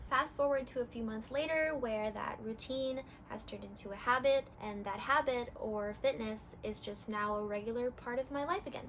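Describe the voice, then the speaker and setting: At a moderate pace with hardly any pauses, a woman with an American accent and high pitch speaks with ordinary pitch variation over noticeable background noise. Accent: very American. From California, US. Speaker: fitness vlogger. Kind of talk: casual vlog talk.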